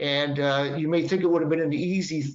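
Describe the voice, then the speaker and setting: A man with a fairly high pitch speaks in a Boston accent. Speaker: patent and trademark attorney. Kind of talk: webinar presentation. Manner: halting, many fillers.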